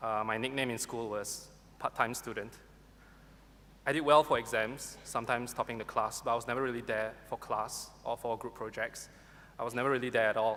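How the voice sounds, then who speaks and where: A man with a Singaporean accent speaks at medium pitch in a bright, sharp tone. His fairly quick delivery has monotone, flat intonation. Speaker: university graduate. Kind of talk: valedictory speech. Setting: graduation ceremony hall with audience. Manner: formal.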